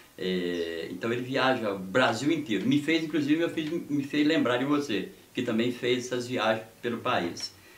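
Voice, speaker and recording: With audible room echo around him, a man speaks at a moderate pace in a medium pitch with lively intonation. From Brazil, Minas Gerais (Descoberto, rural). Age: 60s. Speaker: sports reporter and government aide. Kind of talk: interview, life story.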